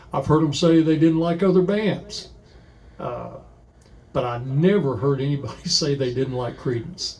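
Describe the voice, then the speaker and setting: A man's somewhat breathy, fairly high-pitched voice with ordinary pitch variation, at a moderate pace, in a room with audible echo. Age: 60s. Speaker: musician and record collector. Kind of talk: casual chat. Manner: halting, many fillers.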